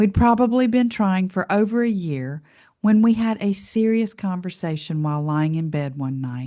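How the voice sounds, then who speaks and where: Against a quiet background, a woman with an unremarkable speaking voice and medium pitch talks at a moderate pace with lively intonation. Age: 60s. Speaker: podcast host. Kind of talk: personal testimony podcast. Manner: warm, conversational.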